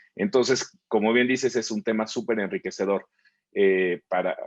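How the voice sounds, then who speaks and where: A man in a Mexican accent, fairly low in pitch, at a moderate pace against a quiet background. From Mexico. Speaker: webinar host. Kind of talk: online panel talk.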